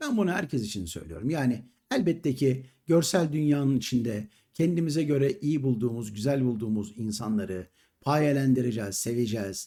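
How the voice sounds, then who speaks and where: This man's voice has a dark, mellow tone at a medium pitch. He speaks at a moderate pace with lively intonation. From Istanbul, Turkey. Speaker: YouTube commentator, retired entertainer. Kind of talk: monologue commentary to camera. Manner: indignant.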